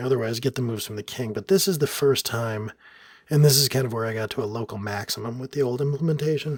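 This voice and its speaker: A soft-spoken man talks at a medium pitch with ordinary pitch variation. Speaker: software developer narrating coding screencast. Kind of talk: tutorial. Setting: hotel room at night. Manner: soft-spoken, keeping voice down; pausing while thinking.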